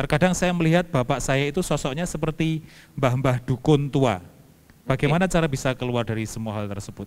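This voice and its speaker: Speaking very fast, a man has a fairly high voice. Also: lively intonation. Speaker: moderator reading viewer questions. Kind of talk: reading out questions. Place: church. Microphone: handheld.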